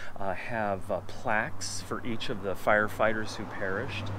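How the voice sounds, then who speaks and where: A man at a fairly slow pace with ordinary pitch variation, dry sound with no echo, and light background noise. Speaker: travel vlogger. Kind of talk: casual vlog chat. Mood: somber, respectful. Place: open country. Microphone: phone near.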